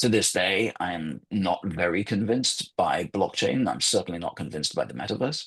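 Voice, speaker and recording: A man in a British accent, with lively intonation and hardly any pauses. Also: fairly low pitch for a man, moderate pace. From England, London. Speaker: journalist and former magazine editor. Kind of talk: guest talk in online webinar.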